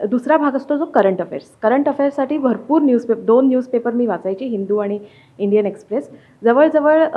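A woman is speaking. Her intonation is lively. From Mumbai, Maharashtra. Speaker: civil service exam topper; interviewee. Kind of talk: interview. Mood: calm, pleased. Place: home room. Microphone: handheld.

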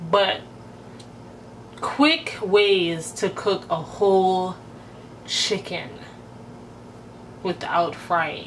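A woman speaks at a very slow pace, with long, frequent pauses and ordinary pitch variation. Light background noise is present. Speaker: cooking vlogger. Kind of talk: casual vlog chat. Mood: relaxed, playful. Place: kitchen. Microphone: phone near.

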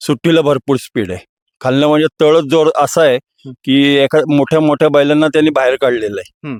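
A man with a plain, everyday voice speaks at a fairly high pitch with ordinary pitch variation, in a dry, close sound with no echo. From Maharashtra, Raigad (Pali). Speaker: bull owner, rehab centre owner. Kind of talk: interview.

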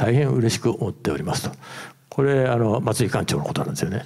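The setting is quiet. A man talks with ordinary pitch variation. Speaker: former magazine editor. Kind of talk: presentation. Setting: stage with audience. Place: hall. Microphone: handheld.

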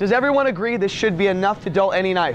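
Through noticeable background noise comes a man's voice, high in pitch. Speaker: product demonstrator. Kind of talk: live in-store product demonstration sales pitch to a crowd. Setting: store floor with live audience. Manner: rapid-fire patter, quick jokes and crowd-work questions; showman-like, hyping each cut with commands to watch. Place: shop.

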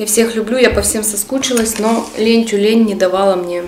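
A woman speaks at a moderate pace in a monotone, flat intonation. Light background noise and audible room echo accompany her voice. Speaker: mukbang vlogger. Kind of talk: casual vlog chat. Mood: warm, festive. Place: home room.

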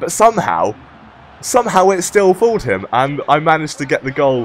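Noticeable background noise fills the clip. Through it, a man speaks. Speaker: gaming YouTuber. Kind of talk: gameplay commentary. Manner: casual, upbeat.

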